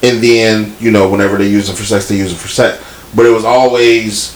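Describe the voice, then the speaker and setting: Medium pitch from a man, with noticeable background noise behind him. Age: 30s. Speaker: podcast co-host. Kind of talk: casual chat. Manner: animated.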